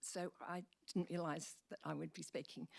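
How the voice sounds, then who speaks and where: A woman with an Australian accent speaks at a fairly low pitch and a moderate pace, with vocal fry. The sound is dry and close with no echo. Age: old. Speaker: member of the public addressing council. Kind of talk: public deputation speech. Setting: council meeting chamber. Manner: halting.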